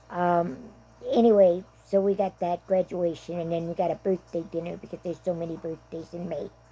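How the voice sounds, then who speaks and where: A dark, mellow tone with an American accent, fairly even intonation and a moderate pace. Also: woman. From South Dakota. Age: 70s. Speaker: vlogger. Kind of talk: casual monologue. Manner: chatty, rambling with fillers.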